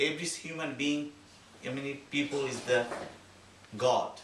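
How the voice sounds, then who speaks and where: With a Bengali accent, a man speaks at a moderate pace and a fairly high pitch. Noticeable background noise and audible room echo are present. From Bangladesh. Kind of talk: speech at community holiday event. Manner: halting.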